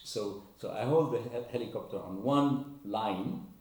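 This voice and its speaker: With lively intonation, a man speaks amid audible room echo and noticeable background noise. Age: 60s. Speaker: RC helicopter hobbyist. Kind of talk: casual vlog talk. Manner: halting, many repetitions.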